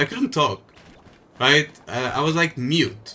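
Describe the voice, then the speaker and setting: Bright, sharp tone at a fairly slow pace. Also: man. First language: Portuguese. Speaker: gaming streamer. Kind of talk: live gameplay stream. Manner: some trouble pronouncing words.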